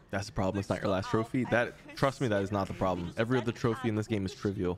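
A man's animated, fairly low voice at a very fast pace, amid noticeable background noise. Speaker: gaming streamer. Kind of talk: live stream chat while gaming. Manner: casual, animated.

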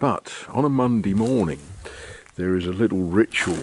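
A man's fairly low-pitched voice over light background noise. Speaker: vlogger. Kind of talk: casual vlog chat. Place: street. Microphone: phone near.

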